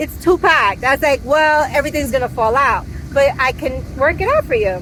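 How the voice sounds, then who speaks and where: A high-pitched woman's voice amid noticeable background noise. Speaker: travel vlogger. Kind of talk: casual chat. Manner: fast.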